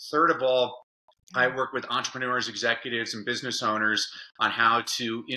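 Bright and sharp in tone, a man speaks at a moderate pace. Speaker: podcast guest, educator, speaker. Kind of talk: interview answer. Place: home room.

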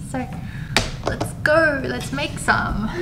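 Noticeable background noise surrounds a female voice. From South Korea. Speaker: office worker vlogger. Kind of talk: casual talk to camera. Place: office.

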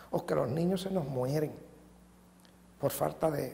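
Over light background noise, a man speaks at a moderate pace with a Dominican accent. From Dominican Republic, Santo Domingo; Dominican Republic. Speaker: businessman turned political candidate; candidate. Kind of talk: interview. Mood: earnest, critical. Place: office. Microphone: lapel.

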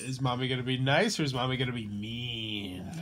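A man's put-on character voice, menacing in tone, at a medium pitch and a fairly quick pace. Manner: playfully menacing.

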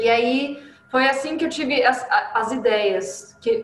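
With audible room echo, a woman with a high pitch speaks in a caipira accent, using ordinary pitch variation. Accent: caipira accent (rolled r), proud of it. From interior of São Paulo state (Paulínia). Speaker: coffee journalist and communicator. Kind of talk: interview. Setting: video call. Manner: animated. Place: home room.

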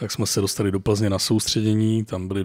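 The speaker is a man with a fairly low voice. He speaks with monotone, flat intonation. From Czech Republic, rural forest lodge. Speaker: competitive hunting rifle shooter and hunter. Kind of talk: casual chat.

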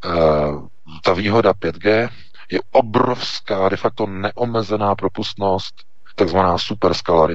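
Amid noticeable background noise, a man with a fairly low pitch and fairly even intonation speaks at a fairly slow pace. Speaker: news portal editor-in-chief. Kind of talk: political commentary. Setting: Skype call.

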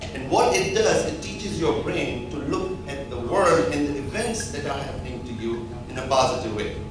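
Lively intonation at a fairly slow pace, with audible room echo and clear music in the background. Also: man.

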